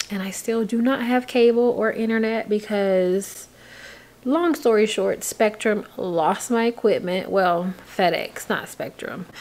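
Here a woman speaks at a fairly slow pace. Her pitch variation is ordinary. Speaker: vlogger. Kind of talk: casual vlog chat. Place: home room. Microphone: phone near.

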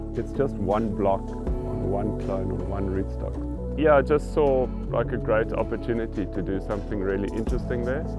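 With clear music in the background, a man talks with hardly any pauses. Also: moderate pace, dry sound with no echo. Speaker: winemaker and former architect. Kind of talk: interview answer. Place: farm machine.

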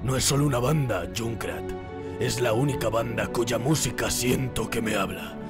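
A man uses a cartoonish character voice at a medium pitch. Loud music plays in the background. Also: moderate pace. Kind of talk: fan dub of cartoon. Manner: gloomy, sullen.

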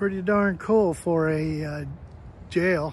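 A man talks in a somewhat breathy voice with ordinary pitch variation. The sound is dry with no echo, over light background noise. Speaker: travel vlogger. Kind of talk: casual vlog chat. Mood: cheerful, amused. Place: street. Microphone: phone near.

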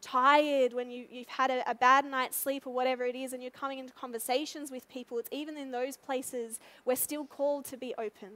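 A woman's high-pitched voice at a very fast pace. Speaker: pastor. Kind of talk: sermon. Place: church. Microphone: headset.

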